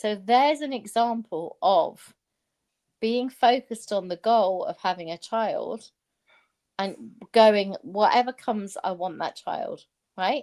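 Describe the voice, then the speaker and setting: A woman with an English accent, fairly high-pitched, with ordinary pitch variation, at a very slow pace, in a dry, close sound with no echo. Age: 60s. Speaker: former stock trader. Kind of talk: casual chat. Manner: animated.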